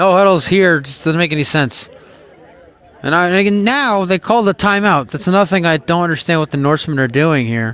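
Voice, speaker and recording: In an American accent, the speaker moves at a fairly quick pace with lively intonation. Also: man, high pitch for a man. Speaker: sports play-by-play announcer. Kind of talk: live commentary. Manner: conversational, opinionated asides.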